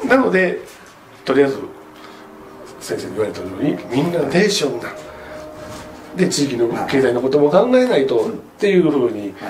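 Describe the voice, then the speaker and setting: Speech at a fairly quick pace breaks into long, frequent pauses while clear music plays in the background. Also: man. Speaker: local actor in a play project. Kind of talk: interview answer. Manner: casual, chatty. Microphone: camera far.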